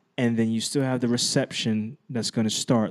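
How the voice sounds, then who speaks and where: A man talks at a medium pitch, using ordinary pitch variation. The background is silent and the recording very clean. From Brooklyn, New York, moved to New Jersey as a teen. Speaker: professional photographer. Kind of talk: casual chat.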